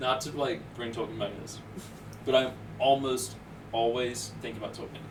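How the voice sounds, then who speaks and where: Speaking at a fairly quick pace with a slight Southern US accent, this man has a medium pitch, fairly even intonation and big swings in loudness, set against noticeable background noise and audible room echo. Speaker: podcast guest. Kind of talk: casual chat.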